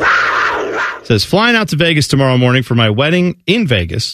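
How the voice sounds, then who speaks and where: Against a quiet background, a man speaks at medium pitch with very wide pitch swings. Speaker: sports radio co-host. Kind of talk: casual chat. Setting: studio.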